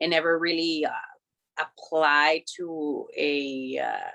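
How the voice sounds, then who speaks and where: In a Spanish accent, a woman speaks with a bright, sharp tone. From Mexico, Tijuana. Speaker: professional wrestler. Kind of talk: casual interview. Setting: video call. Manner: casual, filler-heavy.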